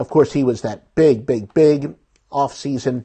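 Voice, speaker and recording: A man speaks at a moderate pace, somewhat breathy. The background is quiet. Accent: American. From Philadelphia suburbs, US. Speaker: sports betting show host. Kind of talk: sports news rundown. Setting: live video stream. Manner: casual, with fillers.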